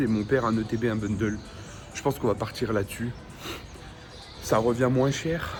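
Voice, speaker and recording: Music in the background behind a man with fairly even intonation. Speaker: Pokémon card reseller vlogger. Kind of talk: vlog.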